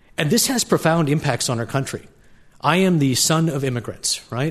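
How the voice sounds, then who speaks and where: A man talks at a fairly quick pace with a fairly high pitch. His voice is somewhat breathy against a quiet background. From Canada. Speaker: state transportation official. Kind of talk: formal debate. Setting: stage with audience.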